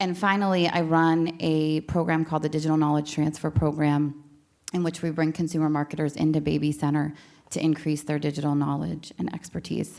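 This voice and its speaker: A woman's very deep, low voice with an American accent, fairly quick and monotone, flat in intonation, on a very clean recording with a silent background. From Pittsburgh, Pennsylvania. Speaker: tech company manager. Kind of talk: panel introduction. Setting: stage with audience.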